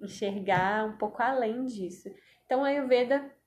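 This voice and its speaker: This woman talks fairly slowly, her pitch moving in an ordinary way. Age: 20s. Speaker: physician, integrative medicine and yoga teacher. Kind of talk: interview conversation.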